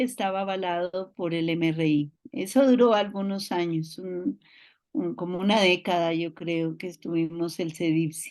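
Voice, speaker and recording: A woman's medium-pitched voice at a fairly slow pace, over a quiet background. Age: 60s. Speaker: family therapist. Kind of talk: guest talk. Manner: halting.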